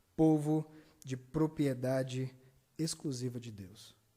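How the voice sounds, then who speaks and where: A man's voice with ordinary pitch variation. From Brazil, Ceará (Juazeiro do Norte). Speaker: pastor. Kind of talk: sermon. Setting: church service, livestreamed.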